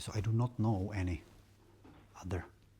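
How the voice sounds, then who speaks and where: A man with a Czech accent, fairly low in pitch and somewhat breathy, his tone dark and mellow, his intonation monotone and flat. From Czech Republic. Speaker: vlogger. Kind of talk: casual monologue vlog. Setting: at home, aquarium bubbling. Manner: halting, repeats words.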